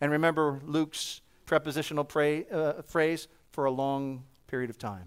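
In a very clean recording with a silent background, a man with a fairly high voice and an American accent speaks at a moderate pace in a plain, everyday voice. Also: ordinary pitch variation. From New Jersey. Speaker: preacher and missionary. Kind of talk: sermon. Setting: church.

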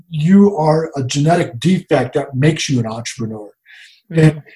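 A man with a fairly high pitch talks in a somewhat breathy voice with lively intonation. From US South, Jacksonville, Florida. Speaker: coffee roaster business owner. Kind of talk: interview conversation.

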